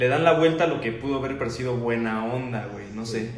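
A man talks very fast at a medium pitch. There is noticeable background noise and audible room echo. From Mexico, Querétaro. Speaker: podcast host. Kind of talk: casual chat.

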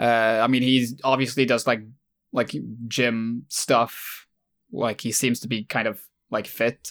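A man's medium-pitched voice, flat and monotone, at a fairly slow pace with long, frequent pauses, on a very clean recording with a silent background. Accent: Swedish. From Sweden. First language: Swedish. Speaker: YouTuber, video essayist. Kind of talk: casual chat. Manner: halting.

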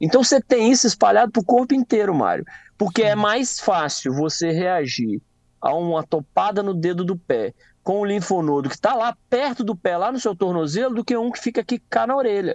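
The sound is dry and close, with no echo. A man with a high pitch speaks with lively intonation. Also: fairly quick pace. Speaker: medical doctor. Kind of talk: radio health Q&A.

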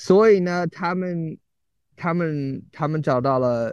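A man with an English accent speaks in a dark, mellow tone. His pitch varies in an ordinary way against a quiet background. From US. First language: English (speaking Chinese). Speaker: English teacher in China. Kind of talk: casual interview chat. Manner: halting, many fillers and repetitions.

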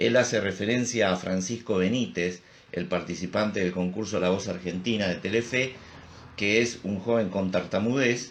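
A man with a Rioplatense accent speaks at a moderate pace, his fairly low voice showing ordinary pitch variation. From Río de la Plata region. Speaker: psychologist. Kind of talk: casual chat.

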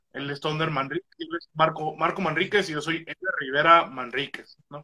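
A man with a fairly high pitch for a man talks with ordinary pitch variation in a dry, close sound with no echo. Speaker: stand-up comedian. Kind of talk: casual chat.

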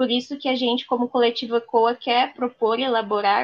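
A woman with a fairly high pitch speaks at a moderate pace with monotone, flat intonation. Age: 20s. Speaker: lawyer and political co-candidate. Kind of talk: interview.

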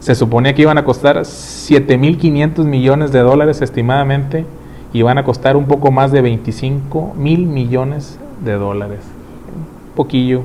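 Over noticeable background noise, someone with a Mexican accent speaks at a fairly slow pace with fairly even intonation. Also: man. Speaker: podcast host. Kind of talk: casual chat.

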